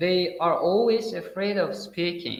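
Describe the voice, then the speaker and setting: A man with a high voice talks at a very slow pace amid audible room echo. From Uzbekistan. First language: Uzbek. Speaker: English teacher. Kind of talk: interview. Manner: halting, many fillers.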